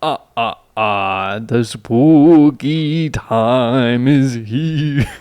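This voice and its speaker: A man puts on a character voice at a medium pitch against a quiet background. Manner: spooky.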